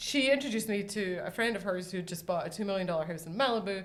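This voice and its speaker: A woman in a Scottish accent speaks very fast, at medium pitch with ordinary pitch variation. Room echo is audible. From Scotland. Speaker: interior designer. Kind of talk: casual chat.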